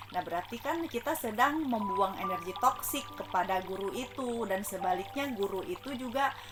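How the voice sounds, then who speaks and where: Music plays in the background while a woman speaks at a moderate pace. Her fairly high voice has lively intonation. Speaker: spiritual self-help vlogger. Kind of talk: casual talk. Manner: loud.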